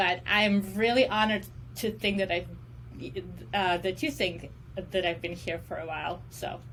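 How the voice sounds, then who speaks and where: A woman talks at a moderate pace and medium pitch, with lively intonation and vocal fry. She leaves long, frequent pauses. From Russia. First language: Russian. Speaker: special education professor and counseling psychologist. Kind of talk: casual interview.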